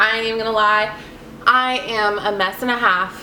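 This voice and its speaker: A woman at a fairly high pitch and moderate pace, with fairly even intonation, noticeable background noise and audible room echo. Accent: American. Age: 20s. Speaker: vlogger. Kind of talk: personal vlog.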